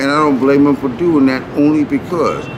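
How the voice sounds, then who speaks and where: With noticeable background noise and audible room echo, a man speaks at a moderate pace with an American accent, his pitch fairly high and his pitch variation ordinary. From San Francisco. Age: 60s. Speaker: homeless man interviewed on the street. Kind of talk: casual street interview. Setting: outdoors on the street.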